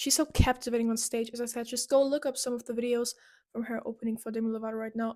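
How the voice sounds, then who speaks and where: The tone is animated and the pace very fast. The speaker has a non-native accent. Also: woman. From Europe. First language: not English. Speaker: YouTuber, pop music commentator. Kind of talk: video essay monologue. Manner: casual, animated.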